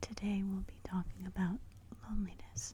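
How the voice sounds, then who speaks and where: With noticeable background noise around it, a whisper carries on at a moderate pace. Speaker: ASMR creator. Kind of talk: guided meditation. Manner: soft-spoken, whispered.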